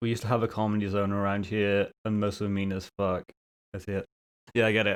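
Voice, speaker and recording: This man talks at a fairly quick pace. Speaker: streamer. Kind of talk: casual chat.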